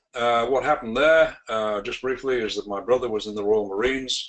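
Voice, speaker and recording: A man speaks with a British accent. His pace is moderate and his intonation lively. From UK. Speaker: sales trainer. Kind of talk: webinar presentation. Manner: hesitant, many fillers.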